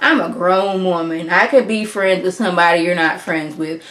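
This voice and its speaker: A woman's medium-pitched voice at a moderate pace with ordinary pitch variation, plus noticeable background noise. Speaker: YouTuber reviewing reality TV. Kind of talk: TV show review monologue. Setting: home recording with green screen. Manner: animated.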